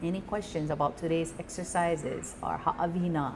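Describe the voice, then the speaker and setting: A woman with a Hawaiian accent speaks at a fairly slow pace amid noticeable background noise. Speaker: Hawaiian language teacher. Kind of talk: live language class. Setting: live venue with audience. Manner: casual, encouraging.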